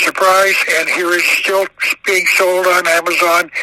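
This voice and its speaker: Noticeable background noise sits behind a man with an American accent. His pitch is high and his intonation monotone and flat. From Arizona. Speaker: author. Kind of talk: interview. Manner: halting.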